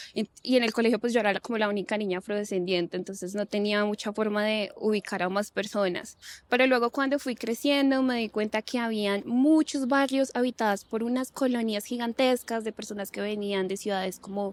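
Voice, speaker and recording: Speaking at a fairly quick pace with hardly any pauses, a woman uses a fairly high pitch and ordinary pitch variation in a dry, close sound with no echo, on a very clean recording with a silent background. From Colombia, Bogotá. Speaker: lawyer and gender expert. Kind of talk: interview conversation.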